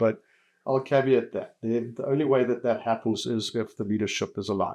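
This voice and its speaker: With a South African accent, a man talks at medium pitch with fairly even intonation on a very clean recording with a silent background. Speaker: telecoms company executive. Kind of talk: podcast interview. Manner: hesitant, many fillers and repeats.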